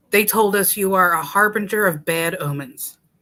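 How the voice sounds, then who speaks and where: In a put-on character voice, a female-sounding speaker talks at medium pitch and a moderate pace, recorded very cleanly with a silent background. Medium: read story. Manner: curt, coarse.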